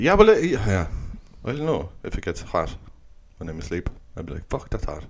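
A man talks at a fairly quick pace, with long, frequent pauses. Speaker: podcast co-host. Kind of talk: casual chat, comedic banter. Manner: swears a lot, jokey.

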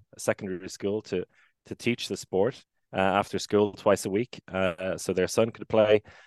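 Speaking in a monotone, flat way with an Irish accent, a man sounds dry and close with no echo against a quiet background. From Ireland, Maynooth (Co. Kildare). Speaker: handball commentator and former player. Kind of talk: casual interview.

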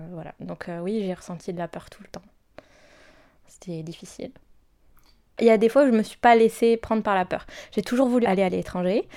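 In a very clean recording with a silent background, a woman with a medium pitch and dark, mellow tone speaks at a fairly quick pace with ordinary pitch variation and long, frequent pauses. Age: 20s. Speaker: consultant. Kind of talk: testimony. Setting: at her home. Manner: halting.

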